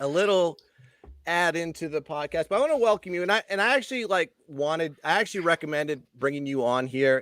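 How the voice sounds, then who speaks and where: Lively intonation marks a man speaking with a Boston accent at a moderate pace, in a dry, close sound with no echo. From Boston area, US. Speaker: podcast host. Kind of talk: casual chat.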